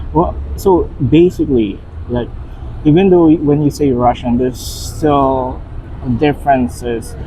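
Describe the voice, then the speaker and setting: Over noticeable background noise, a man with a fairly high pitch speaks at a fairly slow pace, using ordinary pitch variation and long, frequent pauses. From Philippines. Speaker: vlogger's partner. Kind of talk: casual chat. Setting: outdoors.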